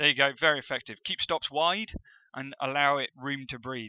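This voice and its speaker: This man talks at a fairly quick pace. He has a West Country accent. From West Country, England. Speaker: forex trading educator. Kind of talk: tutorial. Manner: casual, hesitant with fillers.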